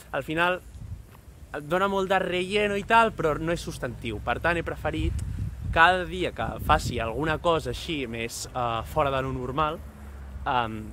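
Over light background noise, a man with a bright, sharp tone speaks at a fairly slow pace, leaving long, frequent pauses. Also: dry sound with no echo. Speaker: travel vlogger. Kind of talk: casual vlog chat. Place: street. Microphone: phone near.

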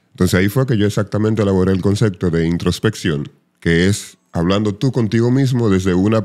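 Against a quiet background, a man with a fairly low pitch speaks at a fairly quick pace, his pitch varying in an ordinary way. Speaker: voice artist and psychologist; podcast guest, radio personality. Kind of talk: casual chat. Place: studio. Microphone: studio mic.

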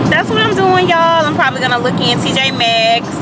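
Over loud background noise, a woman speaks in dry sound with no echo. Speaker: beauty vlogger. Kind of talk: casual vlog chat. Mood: chatty, amused. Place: car. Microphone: phone near.

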